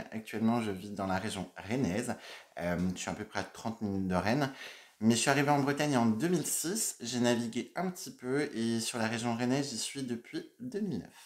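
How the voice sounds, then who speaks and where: In a very clean recording with a silent background, a man with a Burgundy accent speaks at a medium pitch with lively intonation. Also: moderate pace. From Burgundy, France (Dijon). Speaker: makeup YouTuber. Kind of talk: casual Q&A vlog.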